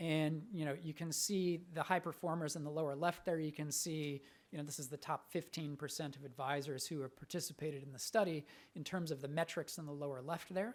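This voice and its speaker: A man's fairly high voice at a fairly quick pace. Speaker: conference speaker, researcher. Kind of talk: conference presentation. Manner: fast; hesitant, with fillers.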